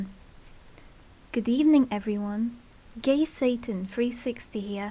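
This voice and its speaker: A woman with a non-native accent, at a very slow pace. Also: ordinary pitch variation. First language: not English. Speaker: fanfiction reader. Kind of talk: reading aloud. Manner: slurred speech; halting.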